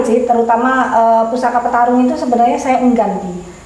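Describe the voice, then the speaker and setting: A woman with a high pitch talks at a fairly quick pace. Audible room echo and noticeable background noise fill the recording. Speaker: keris collector discussing heirloom daggers. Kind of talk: casual chat. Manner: blunt, direct.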